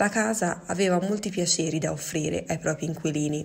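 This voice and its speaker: A somewhat breathy woman's voice, fairly low in pitch, with fairly even intonation. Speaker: museum storyteller. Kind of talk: scripted dramatic narration, wistful and evocative, read aloud as digital storytelling. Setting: recorded voiceover during lockdown.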